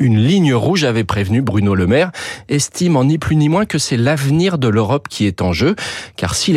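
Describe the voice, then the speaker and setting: This man's pitch swings very widely, and his pace is fairly quick. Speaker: radio economics commentator. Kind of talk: news reading, radio editorial. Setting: radio studio. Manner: formal, steady, informative.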